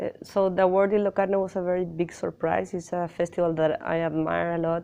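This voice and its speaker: The speaker has a Spanish accent and talks at a fairly quick pace with flat, monotone intonation. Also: woman. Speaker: film director. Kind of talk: interview. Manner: halting.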